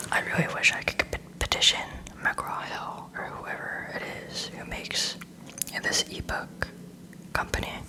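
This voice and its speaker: Noticeable noise fills the background. Through it, a woman whispers. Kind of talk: casual talk to viewers. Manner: soft-spoken.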